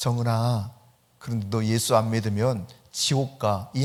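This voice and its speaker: A put-on character voice speaks at a moderate pace and sounds shaky. Its intonation is monotone and flat. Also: man, medium pitch for a man. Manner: nervous, timid.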